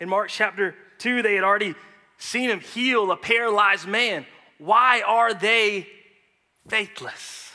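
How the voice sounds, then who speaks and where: A man with an American accent, high pitch, a bright, sharp tone and a raised, projected voice, speaking at a fairly slow pace with ordinary pitch variation and long, frequent pauses. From United States. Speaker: guest preacher. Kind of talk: sermon. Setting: church.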